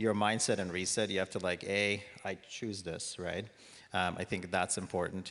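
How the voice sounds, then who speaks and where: A man's very deep, low-pitched voice. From Bosnia. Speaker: real estate agent. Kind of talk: panel discussion.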